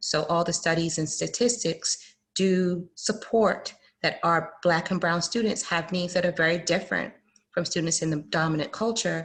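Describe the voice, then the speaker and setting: A woman's somewhat breathy, fairly low voice with an American accent, fairly even intonation, a moderate pace, and a quiet background. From Fort Lauderdale, Florida (born UK, Jamaican parents). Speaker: panelist on diversity and inclusion. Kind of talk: panel discussion.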